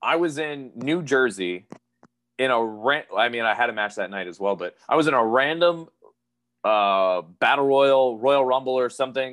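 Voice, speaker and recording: This man has a plain, everyday voice and an American accent. His pitch is medium, with ordinary variation. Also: moderate pace. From Pennsylvania, US. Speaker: professional wrestler. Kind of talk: interview.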